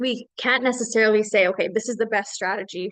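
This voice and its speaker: Pitched fairly high, a woman speaks at a fairly quick pace. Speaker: small business consultant, workshop presenter. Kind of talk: lecture. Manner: fast.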